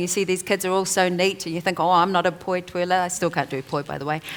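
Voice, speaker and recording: A woman speaks in a New Zealand accent. Her pitch sits in the medium range. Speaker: author and te reo Māori advocate. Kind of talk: panel discussion.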